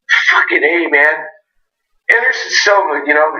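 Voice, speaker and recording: A man talks at a moderate pace, and an audible room echo follows his words. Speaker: MMA podcast co-host. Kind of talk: casual chat.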